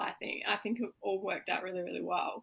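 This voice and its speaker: With an Australian accent, a woman speaks at a fairly quick pace and ordinary pitch variation. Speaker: podcast host. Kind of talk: casual interview chat.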